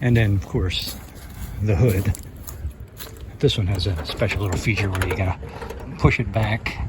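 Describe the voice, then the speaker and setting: Amid noticeable background noise, a man with a fairly low voice speaks at a moderate pace with ordinary pitch variation and long, frequent pauses. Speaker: car restoration vlogger. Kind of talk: casual vlog narration. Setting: outdoors on the street. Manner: self-conscious, hesitant with fillers.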